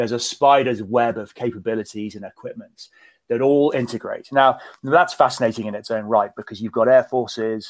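A man with a British accent speaks fairly quickly at a medium pitch with ordinary pitch variation. The recording is very clean, with a silent background. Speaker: retired naval officer. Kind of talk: interview.

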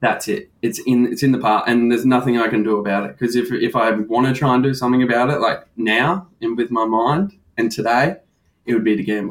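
A man with an Australian accent, at a fairly quick pace. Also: medium pitch for a man, ordinary pitch variation. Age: 20s. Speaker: recovering gambling addict. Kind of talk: candid interview.

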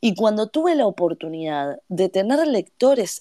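A woman's dark, mellow voice comes through dry and close with no echo on a very clean recording with a silent background. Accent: Uruguayan. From Uruguay. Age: 30s. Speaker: novelist. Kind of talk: interview.

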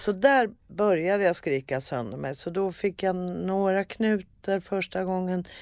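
On a very clean recording with a silent background, a woman at a medium pitch speaks at a fairly slow pace with lively intonation. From Sweden, Örebro. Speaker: actress and comedian. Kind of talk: casual chat. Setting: studio. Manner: animated.

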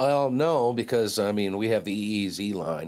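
At a moderate pace, a man with a Maine accent speaks with lively intonation. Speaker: commercial fisherman. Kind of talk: interview.

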